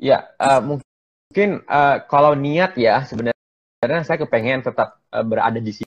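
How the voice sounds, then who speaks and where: The background is quiet. A man speaks fairly slowly at a fairly high pitch, with ordinary pitch variation. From Aceh, Indonesia. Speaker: doctor, COVID-19 volunteer; guest. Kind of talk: online interview. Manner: halting, many fillers. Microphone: choppy connection; earbuds.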